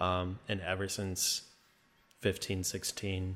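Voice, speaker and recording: A man's very deep, low voice with a slight Minnesotan accent, very slow and flat in a monotone. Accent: slight Midwestern, Minnesotan-like. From northern Wisconsin, US Midwest. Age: 20s. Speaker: creator and entrepreneur guest. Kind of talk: casual interview chat.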